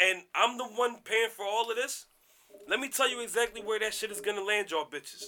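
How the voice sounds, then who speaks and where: In a raised, projected voice with a bright, sharp tone, a man talks fairly quickly at a high pitch. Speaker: podcast host. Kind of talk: casual chat. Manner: animated.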